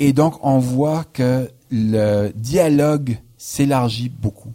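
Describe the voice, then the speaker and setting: A man speaks at medium pitch with a dark, mellow tone. The sound is dry and close, with no echo. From New Brunswick, Canada. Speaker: historian, professor. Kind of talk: radio interview. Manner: hesitant, frequent filler words.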